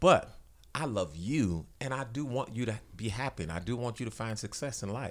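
In a very clean recording with a silent background, a man talks at a moderate pace. He has an unremarkable speaking voice, medium in pitch, with lively intonation. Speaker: pastor. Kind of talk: casual chat.

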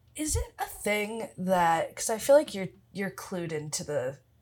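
In a very clean recording with a silent background, a woman speaks at a fairly slow pace. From Philadelphia. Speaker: writer, actor and improviser. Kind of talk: casual chat. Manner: very casual, laid-back.

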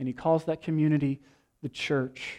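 A man's fairly high voice comes through on a very clean recording against a silent background. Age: 30s. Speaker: pastor. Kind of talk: sermon.

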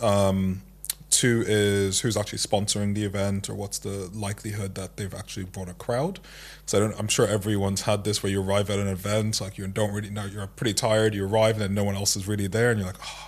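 In a slight Irish accent, a man with a fairly low pitch talks at a very fast pace in a monotone, flat intonation. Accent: Irish-tinged English. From Nigeria. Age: 30s. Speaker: founder and CEO of a tech consultancy. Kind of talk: casual interview. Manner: calm, measured.

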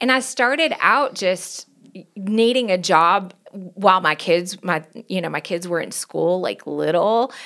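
In a Southern US accent, a woman speaks at a fairly slow pace with medium pitch. Her tone is bright, sharp and animated, with lively intonation. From US South, Knoxville, Tennessee. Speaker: pastor and worship leader. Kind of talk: casual chat.

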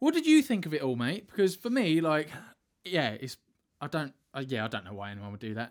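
A man with a British accent speaks fairly quickly at a fairly high pitch. His pitch swings very widely and his loudness shifts a great deal. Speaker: podcast co-host. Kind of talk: casual banter.

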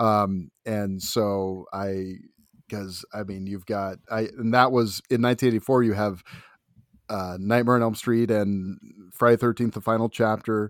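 In an ordinary speaking voice, a man with an American accent and a fairly low pitch talks at a fairly slow pace with fairly even intonation, on a very clean recording with a silent background and a dry, close sound with no echo. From US Pacific Northwest, Seattle area. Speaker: film critic and podcaster. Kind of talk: casual chat.

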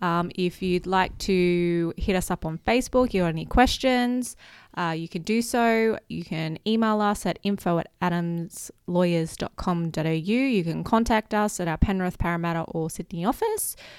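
Speaking at a moderate pace with hardly any pauses, a woman with an Australian accent shows ordinary pitch variation on a very clean recording with a silent background. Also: medium pitch for a woman. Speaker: marketing manager. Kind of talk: casual chat.

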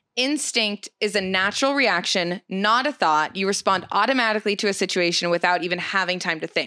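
A woman's animated, bright, sharp voice at medium pitch, with ordinary pitch variation and a fairly quick pace with hardly any pauses, on a very clean recording with a silent background and a dry, close sound with no echo. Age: 20s. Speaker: podcast co-host. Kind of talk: casual chat.

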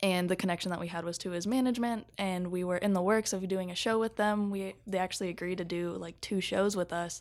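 This woman has an ordinary speaking voice, medium in pitch, with fairly even intonation and a fairly quick pace. The recording is very clean, with a silent background. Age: 20s. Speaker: media producer. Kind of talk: casual chat.

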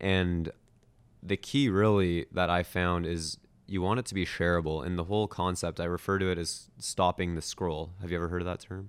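On a very clean recording with a silent background, a man with a Toronto accent speaks at a very deep, low pitch, keeping a moderate pace and fairly even intonation. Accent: Canadian (Toronto). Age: 20s. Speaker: youtuber and videographer. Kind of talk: casual interview. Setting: indoors with city view.

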